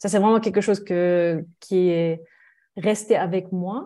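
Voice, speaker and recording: A dark, mellow voice speaks at a very slow pace with fairly even intonation. The background is quiet. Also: woman. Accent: slight German. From Germany. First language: German (speaking French). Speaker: mediator. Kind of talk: podcast interview.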